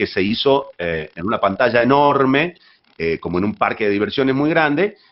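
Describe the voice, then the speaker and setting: This voice belongs to a man. Its pitch jumps up and down very widely. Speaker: voice actor, dubbing talent. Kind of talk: interview answer about dubbing. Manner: conversational, fluent, explanatory.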